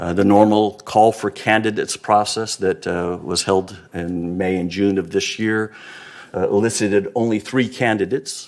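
A man with a fairly low pitch talks at a moderate pace, keeping his intonation fairly even. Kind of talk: meeting report. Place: hall. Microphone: podium.

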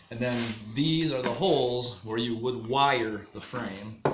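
A man talks at a fairly slow pace while loud background noise plays. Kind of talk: tutorial. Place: workshop.

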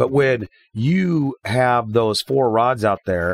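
A man with a plain, everyday voice speaks at medium pitch with ordinary pitch variation, in a dry, close sound with no echo. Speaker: fishing podcast co-host. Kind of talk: casual chat.

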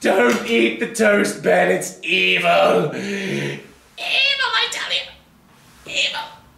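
A man talks in a raised, projected voice at a very slow pace. There is slight echo. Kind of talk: comic overacting. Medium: comedy sketch. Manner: frantic, melodramatic, whispering then shouting.

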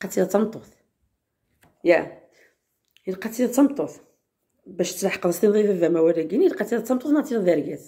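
A woman's dark, mellow, somewhat breathy voice with lively intonation, a moderate pace, long and frequent pauses, and a quiet background. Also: medium pitch for a woman. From Algeria. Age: 30s. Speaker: vlogger. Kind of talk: casual vlog talk. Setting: outdoors in courtyard. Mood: upset about a comment. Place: home room. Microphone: phone near.

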